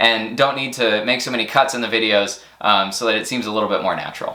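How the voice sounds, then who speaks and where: A man talks at a very fast pace against noticeable background noise and audible room echo. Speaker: science camp educator and channel host. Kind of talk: channel update talk to camera. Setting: recorded to camera. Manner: hesitant with fillers and word-finding pauses.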